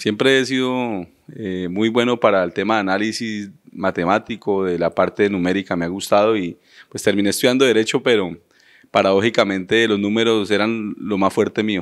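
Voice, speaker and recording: At a moderate pace and with fairly even intonation, a man speaks in a normal speaking voice at a fairly low pitch over a quiet background. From Colombia, Florencia, Caquetá; Caquetá, Colombia. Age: 30s. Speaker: mayoral candidate; candidate. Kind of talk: interview. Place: studio. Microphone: handheld.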